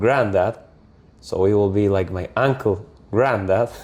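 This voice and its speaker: There's noticeable background noise behind this man. He speaks very slowly with a Spanish accent. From Argentina, Córdoba. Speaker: muralist. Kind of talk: interview. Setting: home art studio. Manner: halting, searching for words.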